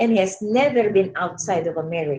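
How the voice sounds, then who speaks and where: With a strong Filipino accent, a woman speaks at a moderate pace in a medium pitch, somewhat breathy and dark, mellow in tone, with lively intonation. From Philippines. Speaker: education professor. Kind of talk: webinar lecture. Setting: online webinar. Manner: halting, many fillers.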